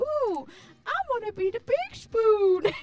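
A put-on character voice at an extremely high pitch and a fairly slow pace. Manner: playful, drunk-cuddly.

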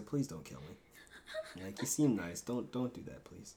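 A man puts on a whiny character voice. He speaks fairly slowly at a medium pitch. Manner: pleading, whiny.

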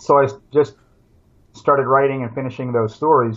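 A man speaks at a fairly quick pace with an American accent, his intonation fairly even. His pitch is medium for a man, and he has a plain, everyday voice. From Pennsylvania, US. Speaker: survival instructor and author. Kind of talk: casual interview.

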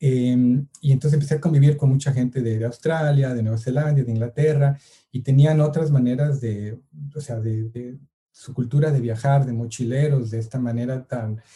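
A man speaks at a fairly slow pace with fairly even intonation. His voice is dark, mellow and somewhat breathy. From Mexico City suburb. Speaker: photographer and filmmaker. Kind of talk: casual interview. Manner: hesitant, many fillers.

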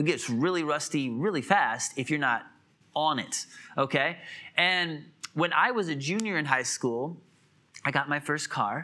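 A man's fairly high voice with an American accent, bright and sharp in tone, ordinary pitch variation, fairly slow pace and long, frequent pauses, on a very clean recording with a silent background. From US Midwest (Illinois). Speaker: pastor. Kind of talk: sermon. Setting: church.

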